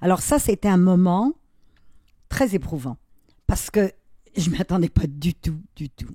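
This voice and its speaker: A woman speaks at a very slow pace with long, frequent pauses and a fairly low pitch, her voice somewhat breathy with a dark, mellow tone. Her intonation is lively, her loudness swings widely, and the sound is dry and close with no echo. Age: 70s. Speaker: artist and YouTuber, retired model. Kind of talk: interview conversation.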